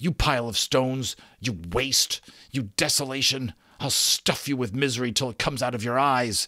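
A man growls in a put-on character voice at a medium pitch and a moderate pace. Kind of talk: dramatic audiobook reading. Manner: furious, gasping, threatening.

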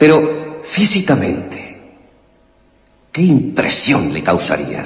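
A man slowly delivers a put-on character voice, fairly low in pitch, with very wide pitch swings.

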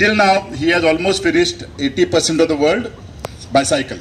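A man at a moderate pace, high-pitched with ordinary pitch variation, over loud background noise. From India. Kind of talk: public speech. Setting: outdoor park event with audience. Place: open country.

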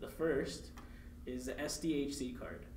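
Here a man speaks over light background noise. Audible room echo is present. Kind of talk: tutorial. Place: meeting room.

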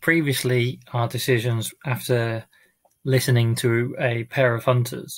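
A somewhat breathy man's voice with fairly even intonation. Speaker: amateur reader. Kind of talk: casual talk to audience. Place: home room. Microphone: webcam.

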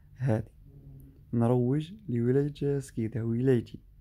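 Somewhat breathy and dark, mellow in tone, a man with an eastern Algerian accent speaks at a medium pitch with fairly even intonation. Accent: Algerian Arabic, eastern Algeria. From Algeria, Skikda. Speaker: travel vlogger; driver vlogger. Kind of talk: vlog narration. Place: car. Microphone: phone near.

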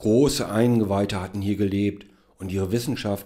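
A man's fairly low voice, dark and mellow with a solemn, dramatic tone, fairly even intonation and a moderate pace. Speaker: author reading own story. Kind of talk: dramatic narration, reading aloud own short story. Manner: solemn, measured, grandly dramatic, then dry and ironic at the end; formal.

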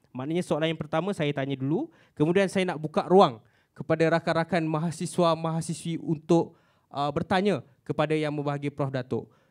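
A man speaks at a fairly quick pace with a fairly high pitch. His intonation stays fairly even over a quiet background. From Malaysia. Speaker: student moderator. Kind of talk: event moderation. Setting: stage with audience. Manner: halting. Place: hall. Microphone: handheld.

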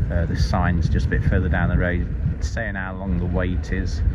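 A man talks fairly quickly while loud background noise fills the recording. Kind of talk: casual vlog chat. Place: car. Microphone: phone near.

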